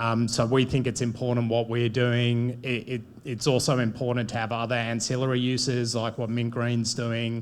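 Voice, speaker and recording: In a medium pitch, a man speaks with monotone, flat intonation and hardly any pauses. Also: moderate pace. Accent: Australian. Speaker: bitcoin mining company executive. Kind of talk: panel discussion.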